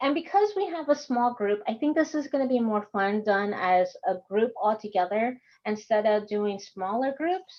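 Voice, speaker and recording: An American accent at a moderate pace, with very wide pitch swings. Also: woman. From Texas. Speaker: course instructor. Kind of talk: online workshop lecture. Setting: video call.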